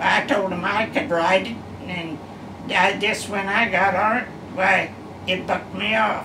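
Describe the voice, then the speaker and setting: Against noticeable background noise, a woman speaks at a fairly slow pace with fairly even intonation and long, frequent pauses. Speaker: retired farm woman. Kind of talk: interview answer. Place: home room. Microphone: camera far.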